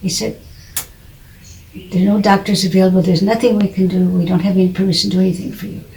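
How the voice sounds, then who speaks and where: Speaking very fast but with long, frequent pauses, a woman with an American accent holds a medium pitch in a monotone, flat intonation, and the room echo is audible. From United States. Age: 80s+. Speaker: author of religion textbooks. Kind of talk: personal testimony.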